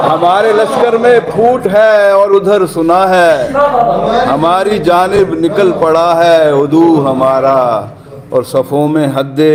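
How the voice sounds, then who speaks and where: Noticeable background noise sits behind a man's speech. He has a high voice and lively intonation. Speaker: poet. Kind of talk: poetry reading.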